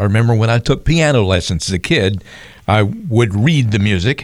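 The man has a normal speaking voice at medium pitch, talking at a fairly quick pace with lively intonation. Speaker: radio co-host and announcer. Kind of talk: radio talk show.

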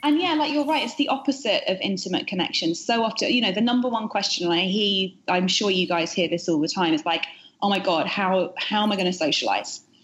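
Hardly pausing, a woman talks at a fairly quick pace and a medium pitch, with lively intonation and very even loudness, over noticeable background noise. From UK. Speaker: author. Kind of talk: casual interview chat. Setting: video call from New York.

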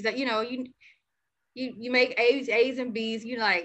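In an Alabama accent, a woman with a high voice talks at a moderate pace. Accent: Southern US (Alabama). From US South, Birmingham, Alabama. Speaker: civil engineer. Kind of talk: casual chat.

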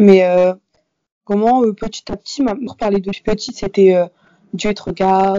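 A woman talks at a moderate pace in a plain, everyday voice. Her pitch is medium and her intonation fairly even. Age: young. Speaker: university student. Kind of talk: interview.

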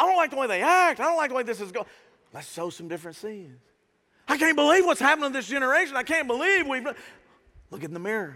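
A man's raised, projected, animated voice, bright and sharp, at an extremely high pitch with very wide pitch swings and big swings in loudness, very fast in pace yet broken by long, frequent pauses. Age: 50s. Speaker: pastor. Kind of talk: Sunday church sermon, energetic call-and-response preaching to a family congregation. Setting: church with live congregation. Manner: animated, punchy exhortation with rhetorical questions; casual, conversational Southern-tinged warmth.

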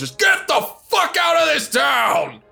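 Shouting in a put-on character voice at an extremely high pitch, the speaker goes at a fairly slow pace over faint background music. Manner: intimidating.

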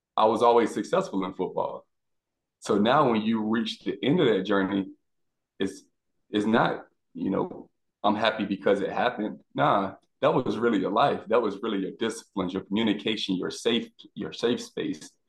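A man with an American accent speaks in a normal speaking voice at medium pitch, with ordinary pitch variation and a moderate pace. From South Florida. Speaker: former pro football player. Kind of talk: casual chat.

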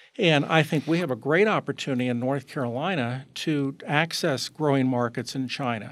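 A man's fairly high-pitched, ordinary speaking voice, with ordinary pitch variation, a moderate pace and hardly any pauses, on a very clean recording with a silent background. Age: 60s. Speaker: economics professor. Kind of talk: interview.

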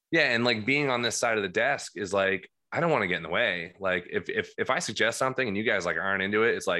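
The speaker talks with an American accent and hardly any pauses. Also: man. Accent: New Jersey accent with a slight drawl. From New Jersey. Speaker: guitarist. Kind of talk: casual chat. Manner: loud.

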